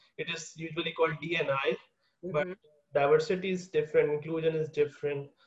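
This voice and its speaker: This man talks at a very fast pace. His fairly high voice has a monotone, flat intonation. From a developing country. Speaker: podcast host. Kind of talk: interview conversation. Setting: remote call.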